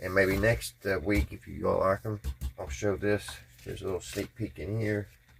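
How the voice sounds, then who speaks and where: Vocal fry colors this man's fairly low voice. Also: ordinary pitch variation, moderate pace. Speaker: hobby channel host, model builder. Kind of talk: casual livestream chat while browsing and building.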